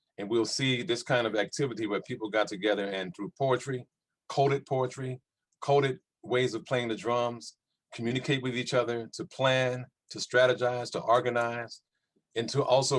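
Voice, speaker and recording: At a moderate pace, a man with an ordinary speaking voice and an American accent talks at medium pitch with ordinary pitch variation. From US South, New Orleans, Louisiana. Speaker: panelist on culture and resistance. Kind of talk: panel discussion.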